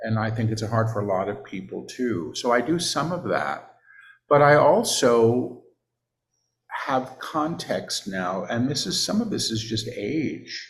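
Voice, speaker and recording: A somewhat breathy man at a fairly slow pace, lively intonation, and audible room echo. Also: medium pitch for a man. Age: 60s. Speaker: spiritual teacher and channeler. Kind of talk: casual chat.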